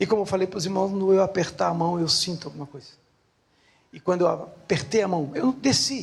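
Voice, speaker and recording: A man at a high pitch and fairly quick pace, ordinary pitch variation, big swings in loudness. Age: 60s. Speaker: lay preacher. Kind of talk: sermon. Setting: church.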